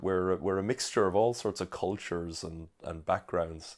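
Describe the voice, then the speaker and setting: At a moderate pace with ordinary pitch variation, the voice comes through in a very clean recording with a silent background. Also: man. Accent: Irish. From rural Ireland, raised by Irish parents. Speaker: songwriter and performer. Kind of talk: interview. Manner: halting, many fillers.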